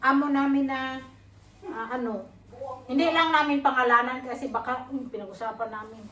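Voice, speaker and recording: A woman's high-pitched voice at a moderate pace, with big swings in loudness, audible room echo, and noticeable background noise. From Philippines. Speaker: vlogger. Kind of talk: casual vlog chat. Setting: workplace, walking to bus.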